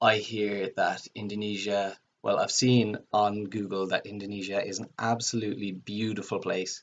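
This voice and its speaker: A man with a Cork accent and monotone, flat intonation. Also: moderate pace, hardly any pauses. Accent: Cork Irish. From Ireland, Cork. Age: 20s. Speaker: student. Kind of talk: video application self-introduction. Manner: hesitant with frequent fillers.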